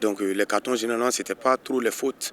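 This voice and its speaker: A man speaks in a flat monotone. The sound is dry and close, with no echo. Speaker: footballer, team captain. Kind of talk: interview. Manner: halting, many repetitions.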